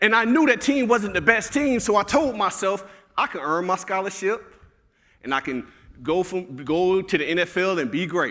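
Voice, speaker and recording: A man with a Southern US accent speaks at a high pitch in a raised, projected voice with a bright, sharp tone. His delivery is animated, with lively intonation at a moderate pace. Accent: Southern, country. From Alabama. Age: 30s. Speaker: motivational speaker. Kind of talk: keynote speech. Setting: stage with audience.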